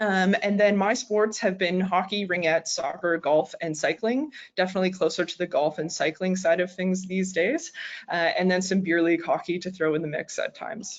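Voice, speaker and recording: With ordinary pitch variation, this woman holds a medium pitch. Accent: Maritime Canadian. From Canada, Nova Scotia. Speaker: naturopathic doctor and sports dietitian. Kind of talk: lecture. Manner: fast.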